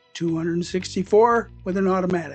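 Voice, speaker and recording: The pace holds moderate throughout. Behind the voice, music can be heard. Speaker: scale model builder. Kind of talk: hobby video narration. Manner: soft-spoken.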